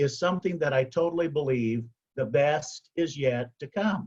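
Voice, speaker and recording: A man with a fairly high pitch speaks at a moderate pace, his voice somewhat breathy and his pitch varying in an ordinary way. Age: 60s. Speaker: motivational speaker, past service club president. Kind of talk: motivational speech.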